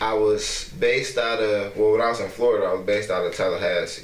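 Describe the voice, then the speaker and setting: A man's fairly quick delivery amid noticeable background noise and audible room echo. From Detroit. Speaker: rapper. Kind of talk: casual chat. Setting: cafe. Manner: quiet, hard to hear.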